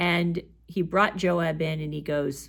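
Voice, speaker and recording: The woman has a fairly low pitch and vocal fry. Her pitch variation is ordinary. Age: 60s. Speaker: bible teacher. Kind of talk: bible study talk. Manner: conversational.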